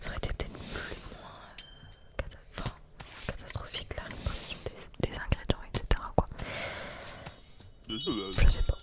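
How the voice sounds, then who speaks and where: A woman whispers at a fairly quick pace over noticeable background noise. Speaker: ASMR content creator. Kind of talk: casual talk to camera. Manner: soft-spoken, close-mic whisper.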